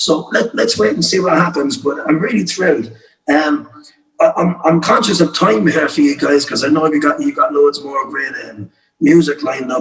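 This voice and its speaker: Speaking at a moderate pace in a Cork accent, a man uses a fairly high pitch and lively intonation. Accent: Cork Irish. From Ireland, County Cork. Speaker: folk singer-songwriter. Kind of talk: casual chat. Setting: video call.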